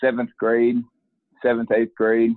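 Medium-pitched male speech with a Southern US accent. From US South, coastal Mississippi. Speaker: college football equipment manager and coach, former athlete. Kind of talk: interview. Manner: halting, many fillers and repeated words.

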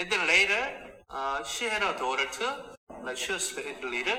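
This man, with a Korean accent, has a fairly high pitch and very wide pitch swings while keeping a moderate pace. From South Korea. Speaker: pastor. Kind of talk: interview answers. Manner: halting, filler-heavy.

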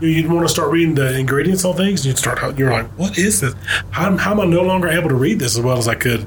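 Over noticeable background noise, a man with a Southern US accent talks at a very fast pace, his fairly high voice holding a very even loudness. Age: 40s. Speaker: insurance agent and podcast co-host. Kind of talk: casual interview.

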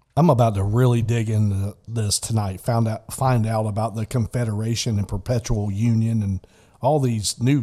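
In an American accent, a man talks with a somewhat breathy voice. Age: 50s. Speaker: podcast host. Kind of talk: casual chat.

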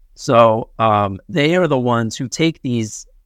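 With a normal speaking voice, a man talks at a medium pitch and a fairly slow pace, using ordinary pitch variation, over a quiet background in a dry, close sound with no echo. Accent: American. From Connecticut. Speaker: comedian and podcast host. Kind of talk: casual chat.

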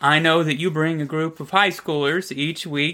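A man's fairly high voice keeps a fairly even intonation. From Kentucky. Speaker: podcast host, Bible study leader. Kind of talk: interview.

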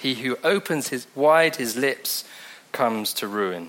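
Noticeable background noise surrounds a man with a medium-pitched voice. He talks at a very slow pace, his pitch swinging very widely. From England, Devon. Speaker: preacher. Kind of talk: sermon. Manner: casual, conversational.

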